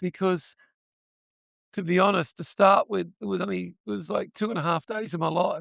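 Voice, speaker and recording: At a moderate pace, a man speaks with an Australian accent. The sound is dry and close with no echo. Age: 70s. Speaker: actor and retired school principal. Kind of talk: convention interview. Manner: halting, many restarts.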